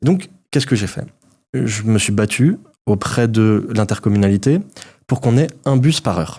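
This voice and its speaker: Long, frequent pauses break up a man's speech, which has a dark, mellow tone and lively intonation in a very clean recording with a silent background. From Alsace, France (Haut-Rhin). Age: 30s. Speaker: mayor and politician. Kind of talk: political interview.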